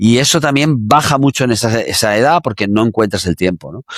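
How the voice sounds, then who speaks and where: A man's fairly quick speech with ordinary pitch variation, dry and close with no echo, in a very clean recording against a silent background. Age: 60s. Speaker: exercise science expert. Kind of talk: interview. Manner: halting, many fillers.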